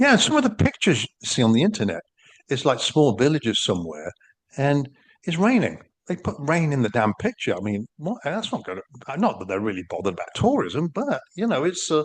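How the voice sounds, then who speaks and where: With an English accent, a man talks at a fairly quick pace, his pitch swinging very widely through vocal fry, in a dry, close sound with no echo. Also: fairly high pitch for a man. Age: 60s. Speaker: podcast co-host. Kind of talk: casual chat. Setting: video podcast recording.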